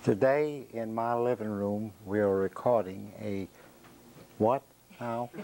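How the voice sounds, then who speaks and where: A man with a Southern US accent speaks at a very slow pace in a dark, mellow tone and fairly low pitch. His intonation is fairly even, broken by long, frequent pauses. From US South, Jacksonville, Florida. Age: 70s. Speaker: interviewee telling life story. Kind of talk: oral history interview. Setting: own living room.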